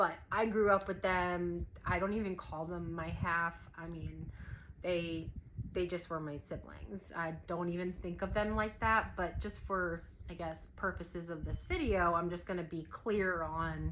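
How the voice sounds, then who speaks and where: The voice moves at a fairly slow pace with monotone, flat intonation and vocal fry. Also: woman, fairly low pitch for a woman. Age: 40s. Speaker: vlogger. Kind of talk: casual personal storytelling to camera. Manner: hesitant, many fillers.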